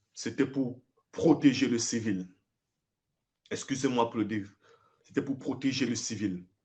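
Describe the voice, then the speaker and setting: Pausing long and often, a man talks at a fairly slow pace in a somewhat breathy voice of medium pitch. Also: ordinary pitch variation. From Cameroon. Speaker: former soldier. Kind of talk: live video address. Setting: livestream. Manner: emphatic.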